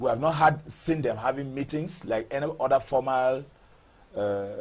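Against a quiet background, a man speaks at a moderate pace in a medium pitch, somewhat breathy, with ordinary pitch variation. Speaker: member of parliament. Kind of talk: TV interview.

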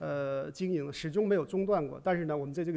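Male voice, fairly high in pitch, with fairly even intonation. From China. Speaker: bank manager; speaker. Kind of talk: conference presentation. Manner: formal. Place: hall. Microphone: podium.

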